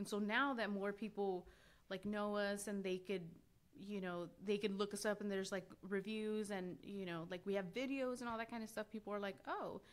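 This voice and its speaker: Speaking with a Spanish accent, a woman keeps a moderate pace and fairly even intonation. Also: medium pitch for a woman. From Los Angeles, San Fernando Valley. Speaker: seamstress and business owner. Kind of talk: casual interview. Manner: casual, filler-heavy.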